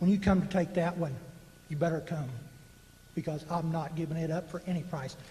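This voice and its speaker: With a Texan accent, a man speaks in an animated tone at a moderate pace over noticeable background noise. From North Texas (Dallas County). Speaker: public meeting speaker. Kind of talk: public comment. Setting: public meeting with microphone.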